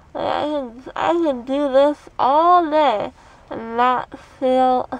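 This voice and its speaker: Here a woman speaks at a high pitch. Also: dry sound with no echo. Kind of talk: casual vlog chat. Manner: slurred numb-mouthed speech after anesthesia. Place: car. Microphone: phone near.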